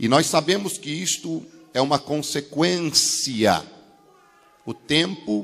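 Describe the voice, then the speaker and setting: Speaking very slowly, a man lets his pitch leap and plunge across a very wide range. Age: 40s. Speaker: pastor. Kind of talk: sermon. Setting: church service, visiting in Argentina. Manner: simple, plain wording.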